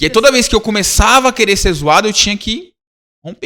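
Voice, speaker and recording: A man talks very fast in a raised, projected voice, high-pitched, with a bright, sharp tone. His delivery is animated, with lively intonation. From Brazil, São Paulo / Rio de Janeiro. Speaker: youth ministry leader. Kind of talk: casual interview chat. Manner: animated, slangy storytelling.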